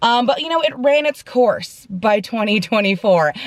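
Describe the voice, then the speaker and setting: Woman's voice with lively intonation at a moderate pace, dry and close with no echo. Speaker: vlogger. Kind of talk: casual vlog talk to camera. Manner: loud, sounds like yelling.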